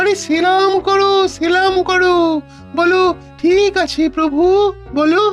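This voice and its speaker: Over clear background music, a cartoonish character voice speaks at an extremely high pitch and a very slow pace. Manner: taunting, sly.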